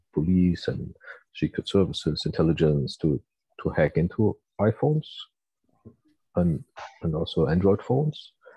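In a strong German accent, a man with a very deep, low pitch and a dark, mellow tone speaks at a moderate pace against a quiet background, the sound dry with no echo. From Germany. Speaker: university researcher. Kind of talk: lecture. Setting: video call. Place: home room. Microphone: earbuds.

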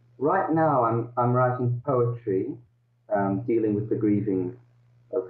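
A man speaking at a fairly slow pace, ordinary pitch variation, audible room echo, and a quiet background. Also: very even loudness. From Netherlands, raised in Australia. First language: Dutch. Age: 50s. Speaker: author; interviewee. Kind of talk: interview over video call. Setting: video call. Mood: reflective, somber at times. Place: home room. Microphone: video call.

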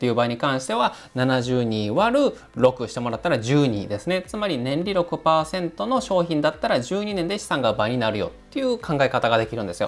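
A man's fairly high voice with very wide pitch swings, a moderate pace and hardly any pauses. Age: 30s. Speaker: financial planner. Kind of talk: tutorial. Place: home room. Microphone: lapel.

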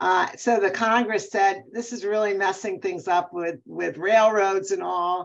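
A woman talks at a fairly slow pace with hardly any pauses. Her intonation stays fairly even. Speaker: neurologist and sleep medicine professor. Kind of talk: expert interview webinar. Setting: video call. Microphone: video call.

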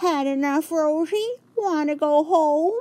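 A put-on character voice comes through at a high pitch. The pace is fairly slow. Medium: read story. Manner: warm, encouraging.

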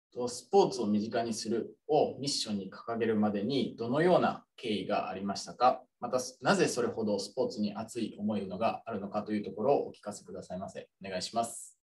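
At a fairly quick pace with hardly any pauses, a man talks at a medium pitch, somewhat breathy, with ordinary pitch variation and big swings in loudness. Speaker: student moderator. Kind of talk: webinar moderation. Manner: formal. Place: office. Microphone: studio mic.

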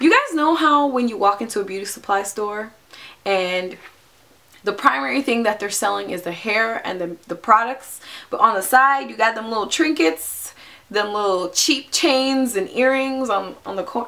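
At a moderate pace, a woman with a fairly high voice speaks with lively intonation and big swings in loudness. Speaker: YouTube vlogger. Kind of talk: angry rant. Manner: animated, sarcastic mimicry. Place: home room. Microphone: camera far.

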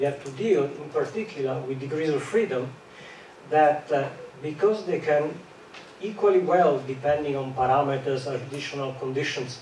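Audible room echo surrounds a man with a fairly high pitch and a slightly mellow tone, talking at a moderate pace with ordinary pitch variation.

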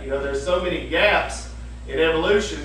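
A man talking at a fairly quick clip, with audible room echo and light noise behind him. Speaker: preacher. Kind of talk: sermon. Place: church. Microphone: camera far.

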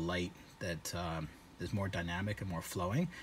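There is light background noise behind a man whose voice is somewhat breathy. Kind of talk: casual demo narration. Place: car. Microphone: phone near.

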